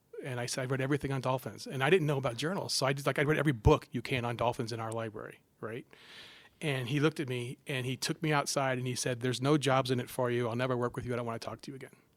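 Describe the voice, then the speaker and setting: The delivery is very fast and animated in tone. The recording is very clean, with a silent background. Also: man, medium pitch for a man. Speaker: psychology professor. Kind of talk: casual interview chat. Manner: animated storytelling with frequent false starts.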